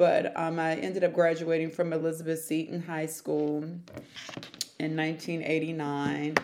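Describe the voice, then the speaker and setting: A woman with an American accent speaks at a fairly slow pace in a very deep, low voice. Her intonation is monotone and flat, with noticeable background noise. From Prince George's County, Maryland. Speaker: city council candidate. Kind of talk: interview. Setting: recorded as live.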